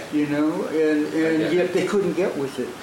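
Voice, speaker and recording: A man's fairly high voice at a fairly slow pace, with audible room echo and noticeable background noise. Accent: American. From Wisconsin, US Midwest. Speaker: jazz drummer and band leader. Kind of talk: casual interview. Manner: halting, many fillers.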